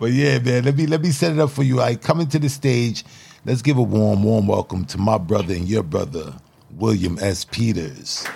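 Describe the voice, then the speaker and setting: Over noticeable background noise, a man with medium pitch speaks at a moderate pace, his pitch swinging very widely. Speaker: podcast host and spoken word poet. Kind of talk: panel discussion moderating, with upbeat motivational intro and outro. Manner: warm, energetic, encouraging.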